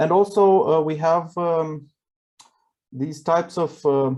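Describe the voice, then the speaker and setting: Fairly high in pitch, a man speaks in a Romanian accent with a dark, mellow tone. His intonation is fairly even and his pace fairly slow. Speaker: event participant. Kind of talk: casual chat. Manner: halting.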